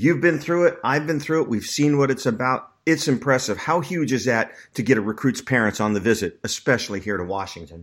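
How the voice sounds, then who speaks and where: A man with an ordinary speaking voice talks at a fairly quick pace, with hardly any pauses, lively intonation and a medium pitch. The recording is very clean, with a silent background. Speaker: recruiting analyst podcast host. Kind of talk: casual sports podcast chat.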